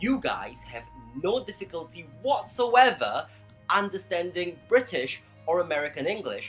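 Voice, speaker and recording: Fairly slow speech over music in the background. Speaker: English pronunciation vlogger. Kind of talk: educational vlog talk to camera.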